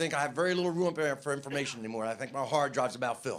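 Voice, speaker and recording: Speech comes at a very fast pace with ordinary pitch variation. Noticeable background noise is present. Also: man. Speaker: stand-up comedian. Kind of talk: stand-up.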